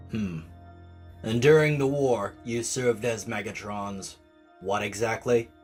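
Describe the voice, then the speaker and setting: In a put-on character voice, the speaker uses a low pitch at a fairly slow pace with long, frequent pauses. Faint music plays in the background. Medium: dub.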